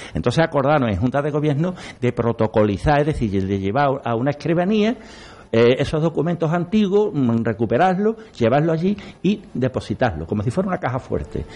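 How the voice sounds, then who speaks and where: A man's fairly high voice with very wide pitch swings, a dark, mellow tone, a fairly quick pace and a quiet background. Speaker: local historian, brotherhood member. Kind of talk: radio panel discussion.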